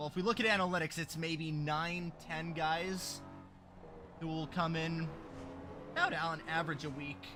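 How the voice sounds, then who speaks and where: Music plays in the background. The speech moves at a moderate pace with long, frequent pauses. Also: man, fairly high pitch for a man. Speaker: sim racing commentator. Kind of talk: live commentary. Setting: livestream. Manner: loud; animated.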